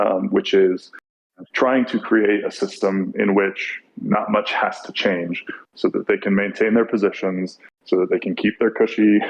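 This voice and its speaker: A man speaks with a Californian accent. His pace is moderate. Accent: California. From US small town. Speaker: podcast guest. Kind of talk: casual chat.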